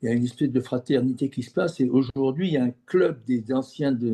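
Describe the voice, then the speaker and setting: A medium-pitched male voice, dark and mellow, fairly slow, with a dry, close sound and no echo. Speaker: former business executive turned geobiologist. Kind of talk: interview. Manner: halting, many repeated words.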